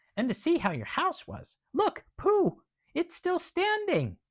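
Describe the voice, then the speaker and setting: An extremely high, squeaky put-on character voice, fairly slow in delivery. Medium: read story. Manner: timid.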